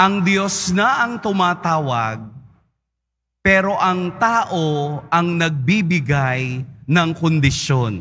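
At a very slow pace, a man speaks in a high, bright, sharp voice with very even loudness. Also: lively intonation. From Philippines. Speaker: priest giving a homily. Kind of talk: preacher's homily, explaining the Gospel to a congregation. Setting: church. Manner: animated, conversational, rhetorical questions and repetition for emphasis. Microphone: podium.

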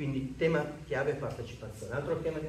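A man's fairly high pitch with audible room echo and light background noise. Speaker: association representative presenting the project; speaker. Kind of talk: conference talk. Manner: loud, speaking without microphone. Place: meeting room. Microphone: no microphone; camera far.

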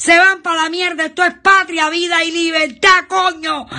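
A woman's shouting in a Cuban accent, raised and projected, extremely high in pitch with a bright, sharp tone, fairly even intonation and a fairly slow pace, over a quiet background. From Cuba, Trinidad. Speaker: citizen denouncing conditions; guest. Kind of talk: angry video denunciation. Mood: angry, desperate, shouting protest. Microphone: video call.

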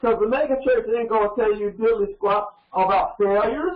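With an American accent, a man speaks in an extremely high voice with lively intonation, against a quiet background with audible room echo. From US South (Georgia). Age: 70s. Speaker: pastor. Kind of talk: sermon. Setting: studio. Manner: animated. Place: studio.

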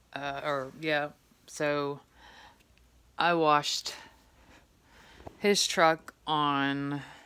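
Very slowly, a woman talks at a very deep, low pitch in a bright, sharp tone with monotone, flat intonation. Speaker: vlogger with a medical condition. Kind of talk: personal vlog. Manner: halting. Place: home room. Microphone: phone near.

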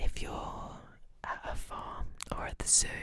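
This is a woman's voice. She is whispering. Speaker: ASMR creator. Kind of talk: soft intimate ASMR chat. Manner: soft, close-mic ASMR murmur. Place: home room. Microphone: studio mic.

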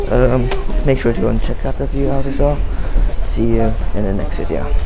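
This man talks at a moderate speed while loud noise fills the background. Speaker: travel vlogger. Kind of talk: casual vlog chat. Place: station. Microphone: phone near.

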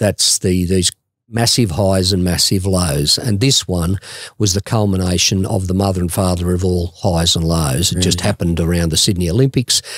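A man's very deep, low voice with an Australian accent, at a moderate pace, with ordinary pitch variation, very even loudness and a dry sound with no echo. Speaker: radio presenter and mental health advocate. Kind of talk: interview answer. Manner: conversational, reflective. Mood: reflective, candid about bipolar. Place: studio. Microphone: studio mic.

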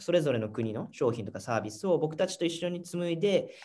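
The speech races at a very fast pace with lively intonation. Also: man. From Japan. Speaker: startup founder; guest. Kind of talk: interview. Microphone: video call.

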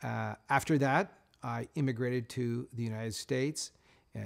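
A man speaks at a medium pitch with ordinary pitch variation. The background is quiet. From Canada, Nova Scotia. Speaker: master bladesmith and knife company owner. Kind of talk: interview. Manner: measured with frequent fillers. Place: workshop.

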